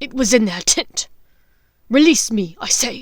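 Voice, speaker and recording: Growling in a put-on character voice, a woman speaks at a high pitch. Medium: read story. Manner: rough, growling.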